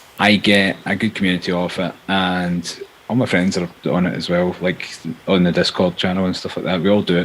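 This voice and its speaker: Mumbling in a flat monotone, a man with a very deep, low pitch talks at a fairly quick pace over noticeable background noise. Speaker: Twitch streamer. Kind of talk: casual chat.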